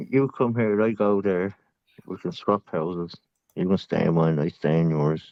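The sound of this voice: Low and fairly even in intonation, a man with an Irish accent speaks at a fairly slow pace in a dry, close sound with no echo.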